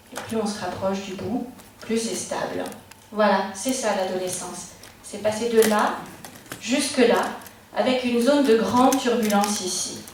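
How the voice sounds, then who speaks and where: Speaking at a fairly slow pace with long, frequent pauses, a woman with a fairly high pitch and ordinary pitch variation is heard over noticeable background noise and audible room echo. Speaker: psychologist giving a talk. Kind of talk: public talk to parents.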